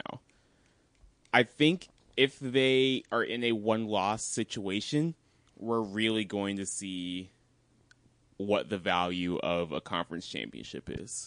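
A man talks at a fairly slow pace with a medium-pitched voice. His intonation is lively. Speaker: podcast co-host. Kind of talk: casual banter about sports.

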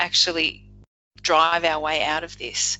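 Speaking at a fairly slow pace, a woman with an Australian accent uses a fairly low pitch with vocal fry. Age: 50s. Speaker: leadership coach. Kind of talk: casual interview.

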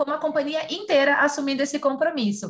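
A woman is speaking. Her voice is high-pitched. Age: 30s. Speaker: sales manager and chemical engineer. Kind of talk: casual chat.

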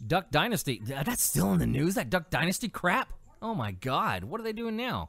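With an American accent and vocal fry, a man talks at a moderate pace in a fairly high pitch, his pitch swinging very widely over a very clean recording with a silent background. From California. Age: 30s. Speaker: podcast host and heavy metal musician. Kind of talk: casual solo commentary on news. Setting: home studio with mixer and pop filter. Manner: animated.

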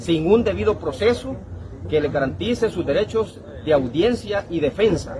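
There is noticeable background noise as a man speaks at a moderate pace. His pitch swings very widely. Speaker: union or labor movement leader. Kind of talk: interview.

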